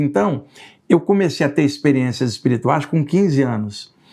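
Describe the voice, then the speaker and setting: A man speaks in a normal speaking voice at a moderate pace, with ordinary pitch variation over a quiet background. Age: 60s. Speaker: spiritualist researcher and writer. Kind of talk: casual interview.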